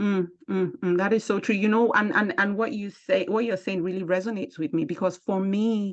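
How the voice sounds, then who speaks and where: A woman with a strong African accent speaks at a medium pitch and fairly quick pace, with ordinary pitch variation and hardly any pauses. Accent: thick African. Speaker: podcast host and speaker. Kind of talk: interview conversation.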